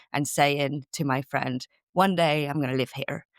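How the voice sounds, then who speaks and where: In a Spanish accent, a woman speaks at a moderate pace with a very deep, low pitch, her voice dry and close with no echo on a very clean recording with a silent background. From Spain. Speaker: sales coach. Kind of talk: podcast interview.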